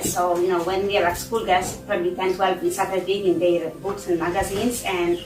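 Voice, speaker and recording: A woman of medium pitch speaks at a moderate pace, with noticeable background noise and audible room echo. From Poland. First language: Polish. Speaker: church member giving testimony. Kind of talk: testimony. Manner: halting, many fillers.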